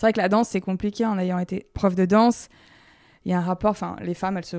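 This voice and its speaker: A woman's medium-pitched, flat, monotone voice at a very fast pace, in a very clean recording with a silent background. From France, Lyon. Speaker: dance teacher. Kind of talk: interview.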